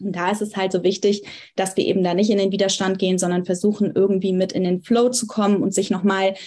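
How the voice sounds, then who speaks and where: A woman at medium pitch speaks with a dark, mellow tone that is somewhat breathy. The background is quiet. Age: 20s. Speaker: astrologer and psychology student. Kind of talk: casual interview. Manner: frequent hesitation fillers.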